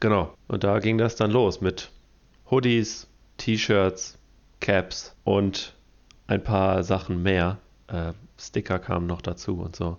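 Speaking at a very slow pace, a man uses a very deep, low pitch and fairly even intonation, with long, frequent pauses. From Detmold, East Westphalia, Germany. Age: 20s. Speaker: podcast co-host and clothing brand founder. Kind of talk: casual chat.

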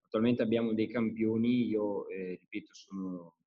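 With a normal speaking voice, a man talks at a fairly quick pace, his fairly low pitch carried in fairly even intonation. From northern Italy (Brescia, Lombardy). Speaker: entrepreneur, perfume brand founder. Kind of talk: casual interview chat.

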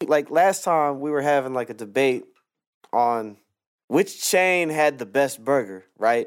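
A man has a plain, everyday voice with a fairly high pitch. His intonation is lively, on a very clean recording with a silent background. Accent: American. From US Northwest, Portland, Oregon. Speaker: podcast co-host and beat maker. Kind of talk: casual chat.

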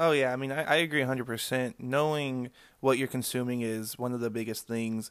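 Recorded very cleanly against a silent background, a man talks at a fairly quick pace in a medium pitch with fairly even intonation. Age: 20s. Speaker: cannabis grower. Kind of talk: casual interview. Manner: halting, many fillers.

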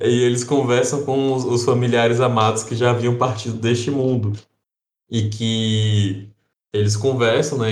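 Here a man talks at a medium pitch and a moderate pace. His intonation is fairly even, and room echo is audible. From Brazil, interior. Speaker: podcast co-host. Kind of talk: casual chat.

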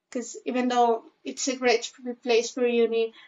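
Fairly high in pitch, a woman speaks with a Spanish accent and fairly even intonation. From Spain (Zaragoza). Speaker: university student. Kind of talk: interview.

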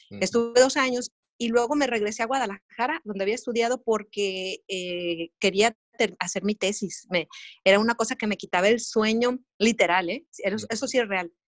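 Using an ordinary speaking voice, a woman talks at a moderate pace with a fairly high pitch and ordinary pitch variation. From Sonora, Mexico. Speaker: TV news journalist. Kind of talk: casual chat. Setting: video call.

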